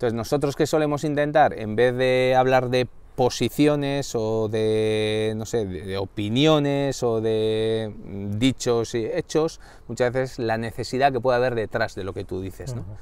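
This man talks at a fairly slow pace in a medium pitch, with ordinary pitch variation and a dry sound that has no echo. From Basque Country, Spain (Irun, Gipuzkoa); Basque Country, Spain. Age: 40s. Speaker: director of an organizational culture centre; interview guest. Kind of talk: interview. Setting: in-person at the centre's building. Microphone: lapel.

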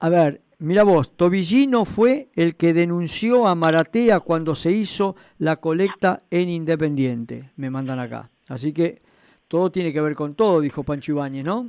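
A man with a Rioplatense accent and a high pitch speaks at a fairly slow pace, the sound dry with no echo. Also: lively intonation. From Argentina. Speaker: radio host. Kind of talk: radio sports talk show. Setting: radio studio. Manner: hesitant, repeats words, conversational. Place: studio.

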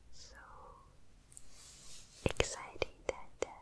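Whispering, a woman is soft-spoken. Her pace is very slow. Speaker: ASMR content creator. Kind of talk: soft casual ASMR chat. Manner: smiling soft whisper. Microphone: studio mic.

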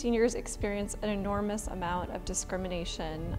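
Clear music sounds behind the speaker. She, a woman, goes at a fairly quick pace. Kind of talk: interview answer. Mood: earnest, warm. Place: home room.

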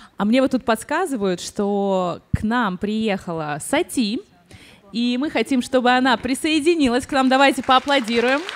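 A woman speaks at a high pitch and a moderate pace. Her intonation is lively. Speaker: interviewer and channel author; interview host. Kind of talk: public talk interview. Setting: stage with audience. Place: stage. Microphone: handheld.

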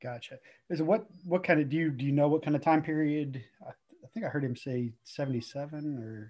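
In a quiet background, a man talks at a fairly quick pace and fairly high pitch with ordinary pitch variation. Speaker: church discussion group leader. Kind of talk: group discussion with opening prayer. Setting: video call. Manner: casual, repetitive fillers. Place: home room. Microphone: video call.

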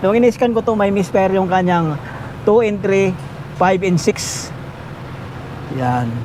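A man speaks with a high pitch and lively intonation. There is noticeable background noise. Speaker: auto mechanic vlogger. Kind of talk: tutorial. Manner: casual.

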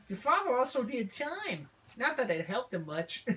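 A female-sounding put-on character voice swings very widely in pitch, sitting high overall. It moves at a moderate pace. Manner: dry, guilt-tripping.

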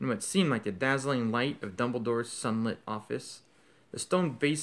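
The delivery is plain reading aloud. Its pitch shifts in an ordinary fashion.

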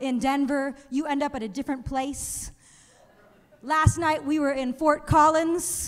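In an American accent, a woman speaks at a high pitch and fairly slow pace in an animated, playful tone. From Los Angeles. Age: 30s. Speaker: stand-up comedian and TV writer; stand-up comedian. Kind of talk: stand-up comedy set. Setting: stage with live audience. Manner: animated, playful, self-deprecating storytelling with punchlines. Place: stage. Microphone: handheld.

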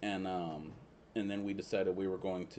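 A man with a Southern US accent and a very deep, low voice of dark, mellow tone talks at a fairly quick pace with fairly even intonation over light background noise. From US South. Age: 30s. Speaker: friend of the host. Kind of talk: casual chat. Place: home room. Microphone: studio mic.

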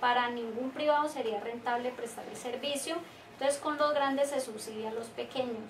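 The pace is fairly quick, with fairly even intonation. Light background noise sits behind the speech. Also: woman, high pitch for a woman. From Colombia. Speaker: trade union leader. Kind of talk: interview. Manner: formal. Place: office. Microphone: camera far.

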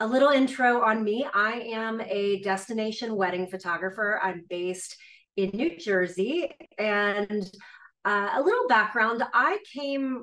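A woman with a bright, sharp tone speaks fairly slowly with ordinary pitch variation. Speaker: guest. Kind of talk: presentation talk. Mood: warm, friendly. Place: home room.

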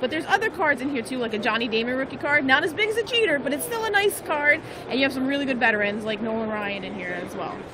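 A woman's raised, projected voice at a very fast pace with hardly any pauses, crowd noise in the background, dry sound with no echo. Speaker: livestream host. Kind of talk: live stream commentary. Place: hall.

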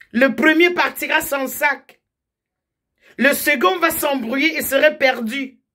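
Against a quiet background, a woman with a high pitch speaks at a very slow pace in a raised, projected voice, her tone bright and sharp, her intonation fairly even, with long, frequent pauses. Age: 50s. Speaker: political commentator. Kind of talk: direct-to-camera political appeal. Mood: earnest, warning. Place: home room. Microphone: phone near.

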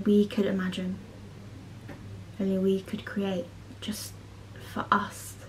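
A shaky female voice, flat and monotone, at a fairly slow pace with light background noise. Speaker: amateur poet. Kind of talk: spoken word poetry performance. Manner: nervous, shaky. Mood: tender, slightly nervous. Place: home room. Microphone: phone near.

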